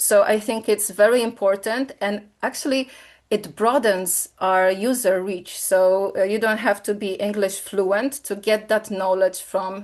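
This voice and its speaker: Speaking in a Polish accent at a fairly slow pace, a woman keeps a medium pitch and fairly even intonation. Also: quiet background. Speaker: software company presenter. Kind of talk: webinar product demo. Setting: online webinar. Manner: hesitant, many fillers.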